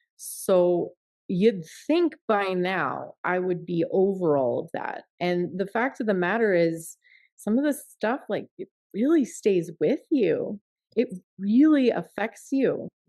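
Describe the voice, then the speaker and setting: A woman with an American accent speaks very slowly at a medium pitch, swinging very widely. Her tone is dark and mellow, and the sound is dry and close with no echo. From US Midwest, Missouri. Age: 40s. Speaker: entrepreneur and brand photographer. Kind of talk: casual interview chat.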